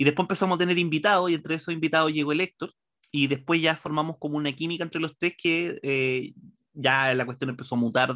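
A man with a Chilean accent, a fairly high pitch, a bright, sharp tone, fairly even intonation, and a very fast pace. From Chile, Santiago. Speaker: comedy writer and stand-up comedian. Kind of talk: casual interview chat.

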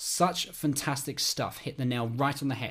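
Here is a man with a British accent and a fairly high pitch. His pace is moderate and his intonation fairly even. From United Kingdom. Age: 20s. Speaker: podcast host, theology student. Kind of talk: solo podcast monologue.

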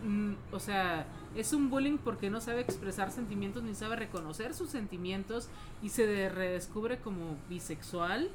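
Fairly slow speech from a woman at medium pitch, ordinary in its pitch variation, with audible echo from the room. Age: 40s. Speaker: podcast co-host. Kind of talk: casual chat.

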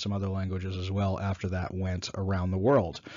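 A man with an American accent talks at a fairly quick pace in a plain, everyday voice with fairly low pitch. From New York. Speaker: former city council candidate, business owner. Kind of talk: solo talk summarizing a presentation.

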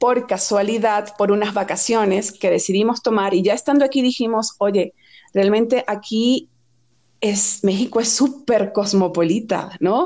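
A woman with a Venezuelan accent speaks in a fairly high voice with a dark, mellow tone. Her pace is fairly slow, her loudness very even, and her pitch varies in an ordinary way. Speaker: fashion and beauty editor. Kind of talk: podcast interview.

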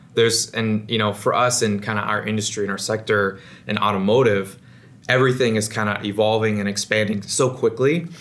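A man talks in an unremarkable speaking voice at a fairly quick pace. His pitch is fairly low and his intonation fairly even. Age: 20s. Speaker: podcast host. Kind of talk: interview.

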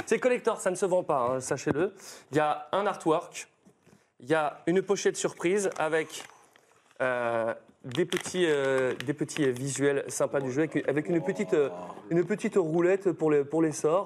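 A man speaks at a moderate pace in a fairly high pitch, with ordinary pitch variation and long, frequent pauses. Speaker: stream host and voice actor. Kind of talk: casual chat, sponsored intro. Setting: studio, live stream with chat. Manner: animated, jokey.

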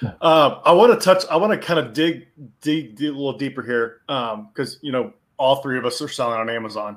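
With a fairly high pitch and lively intonation, a man in an unremarkable speaking voice talks at a fairly quick pace. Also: very clean recording, silent background. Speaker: podcast co-host. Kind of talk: podcast interview.

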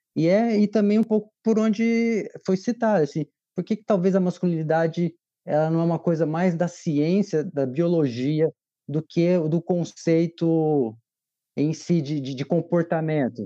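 A man's high-pitched voice, dark and mellow in tone, comes at a fairly slow pace with a dry, close sound, no echo, and a quiet background. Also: ordinary pitch variation. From southern Brazil. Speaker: film director and father. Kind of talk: casual chat.

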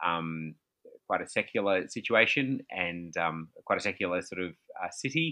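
A man with an Australian accent speaks at a very deep, low pitch in a bright, sharp tone, at a fairly slow pace with lively intonation. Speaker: pastor and author. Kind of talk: casual interview. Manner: hesitant, many fillers.

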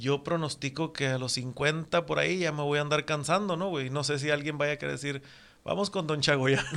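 A man talks in a normal speaking voice at a moderate pace. His pitch is fairly high, and his intonation fairly even. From northwestern Mexico, Mexicali and Puerto Peñasco. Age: 40s. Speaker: tattoo artist. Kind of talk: casual chat.

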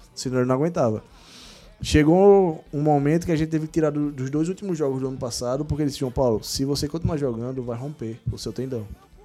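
A man at a fairly high pitch, talking at a very fast pace with ordinary pitch variation, music in the background. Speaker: physiotherapist of a football club. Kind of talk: casual interview.

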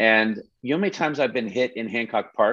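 Against a quiet background, a man with a fairly low pitch and a plain, everyday voice speaks at a moderate pace. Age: 50s. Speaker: actor in recovery. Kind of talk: casual chat.

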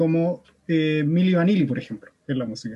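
With a Chilean accent, a man talks at a moderate pace in a dark, mellow tone and lively intonation. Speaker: podcast host. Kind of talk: casual chat.

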